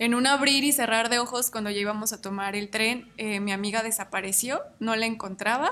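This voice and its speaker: A bright, sharp tone rides on fairly even intonation. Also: woman. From Mexico, Michoacán. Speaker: traveler. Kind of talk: casual chat.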